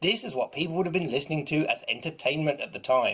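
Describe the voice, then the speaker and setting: A plain, everyday voice from a man, fairly high in pitch with ordinary pitch variation. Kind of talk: casual review talk to camera.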